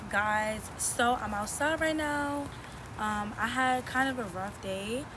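A woman speaks with a dry sound and no echo. Noticeable background noise can be heard. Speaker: vlogger. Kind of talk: casual vlog chat. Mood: emotional, calm, reflective. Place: garden.

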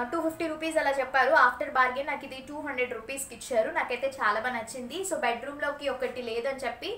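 A woman speaks in a high voice. The room echo is audible, with light noise behind her. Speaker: vlogger and mother; vlogger. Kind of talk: casual vlog narration. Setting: at home. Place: home room. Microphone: phone near.

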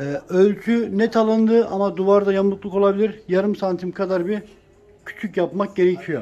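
The voice has a dark, mellow tone, moving at a moderate pace with little pitch movement. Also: man, high pitch for a man.

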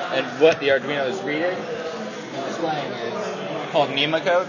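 A man's voice with ordinary pitch variation against crowd noise in the background. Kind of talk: interview answer. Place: classroom. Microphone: phone near.

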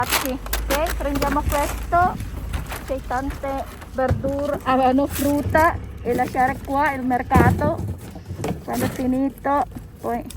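Noticeable background noise runs through the clip. The delivery is fairly slow. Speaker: vlogger. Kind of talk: casual chat. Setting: outdoors.

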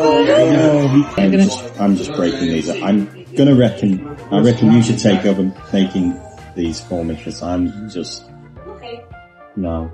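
Clear music plays in the background as a man speaks at a moderate pace, his pitch swinging very widely, with long, frequent pauses. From England. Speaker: travel food vlogger. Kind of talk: casual talk to camera. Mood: playful, reluctant. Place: cafe.

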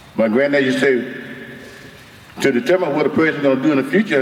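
A man's medium-pitched voice with an Alabama accent, over noticeable background noise. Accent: Southern US (Alabama). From US South, Mobile, Alabama. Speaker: community activist, retired Marine officer. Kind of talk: public hearing testimony. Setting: public hearing at microphone.

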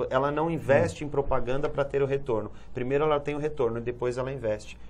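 Vocal fry marks a man's fairly high voice, which has ordinary pitch variation. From Brazil, São Paulo. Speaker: Amway distributor / businessman. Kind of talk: TV interview answer. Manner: explanatory, conversational. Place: studio. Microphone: lapel.

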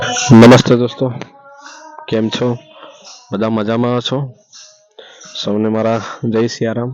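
Noticeable background noise accompanies a man speaking in a medium pitch with monotone, flat intonation. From Gujarat, India. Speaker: video blogger. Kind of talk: vlog tour narration. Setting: outdoors at village temple at night. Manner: halting.

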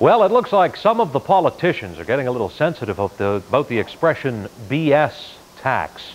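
Over faint background noise, a man with a medium pitch speaks at a fairly quick pace, making big pitch swings.

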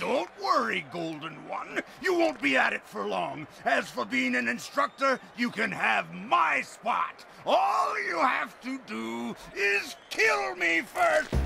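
Against clear background noise, a man shouts at a fairly slow pace. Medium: audio drama. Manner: taunting, menacing.

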